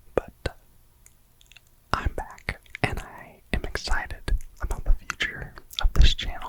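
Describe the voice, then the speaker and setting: A man whispers in a relaxed tone. Noticeable background noise sits behind him. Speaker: ASMR creator. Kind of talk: whispered ASMR ramble to camera. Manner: whispered, slow, relaxed.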